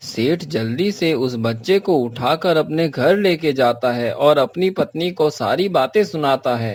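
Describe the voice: Speaking at a fairly slow pace, a man uses a fairly high pitch and lively intonation.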